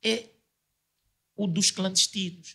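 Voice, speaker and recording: Against a quiet background, a man with a high-pitched voice and a bright, sharp tone speaks at a fairly slow pace. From Angola. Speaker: debate panelist; panelist. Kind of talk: debate. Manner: halting. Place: studio. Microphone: studio mic.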